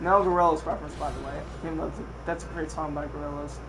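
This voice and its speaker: Noticeable background noise and audible room echo both surround this man as he talks. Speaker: gaming streamer. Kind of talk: live stream walkthrough. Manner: casual, profane.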